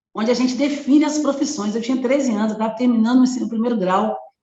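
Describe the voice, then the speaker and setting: The pitch varies in an ordinary way, and the room echo is audible. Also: woman. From Brazil, Belo Horizonte, Minas Gerais. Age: 50s. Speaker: activist and educator. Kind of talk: interview.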